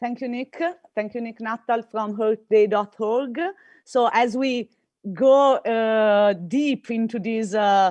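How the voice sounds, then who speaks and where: A woman speaks at a fairly slow pace with an Italian accent. Her pitch varies in an ordinary way, and the sound is dry and close with no echo over a quiet background. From Italy. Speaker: campaign coordinator and event moderator. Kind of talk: event moderation. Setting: video call.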